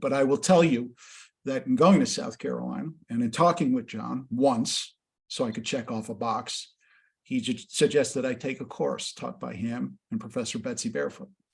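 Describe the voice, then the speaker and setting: A man's fairly quick speech with vocal fry. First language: not English. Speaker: education nonprofit executive and interviewer. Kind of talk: webinar interview, personal introduction. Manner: hesitant, many fillers.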